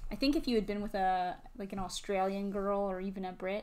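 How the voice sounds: A woman talks at a fairly quick pace with a Midwestern accent. Her medium-pitched voice has a slightly mellow tone. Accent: American Midwestern.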